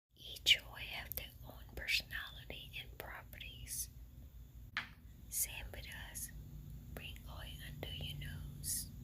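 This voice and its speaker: Someone is whispering at a very slow pace. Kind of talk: ASMR how-to tutorial. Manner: whispered.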